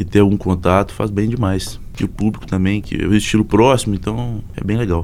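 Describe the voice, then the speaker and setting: Delivered fairly quickly, a normal speaking voice keeps its intonation fairly even. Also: man, fairly low pitch for a man. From Minas Gerais, Zona da Mata (Abre Campo). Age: young. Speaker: singer-songwriter and guitarist. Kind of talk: casual interview.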